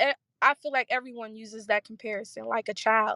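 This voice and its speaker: A woman speaks at a moderate pace in an ordinary speaking voice, her fairly high pitch held to fairly even intonation, recorded with a dry, close sound and no echo. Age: 20s. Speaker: guest speaker. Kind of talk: testimony.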